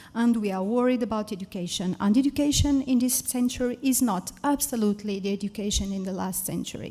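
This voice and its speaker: A woman with a Portuguese accent, somewhat breathy, dark and mellow in tone, fairly high in pitch, at a moderate pace, in a very clean recording with a silent background. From Portugal. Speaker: science educator. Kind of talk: conference talk.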